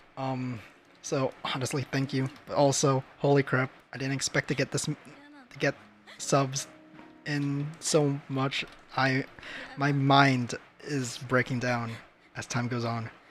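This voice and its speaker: Monotone, flat delivery from a man at medium pitch, long frequent pauses, music in the background. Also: fairly slow pace. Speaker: streamer and artist. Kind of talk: casual live stream chat. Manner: stuttering, halting.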